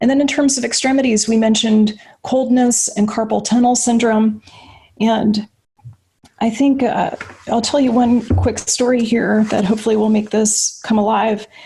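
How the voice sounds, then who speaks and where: A woman's fairly high voice in a monotone, flat intonation, with very even loudness and a moderate pace. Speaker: physician. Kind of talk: lecture.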